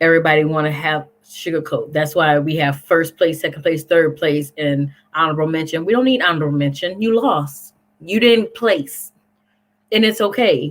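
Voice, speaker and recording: A woman speaks at a moderate pace with a fairly low pitch. Her pitch variation is ordinary. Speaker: co-host of online talk show. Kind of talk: casual chat. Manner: blunt.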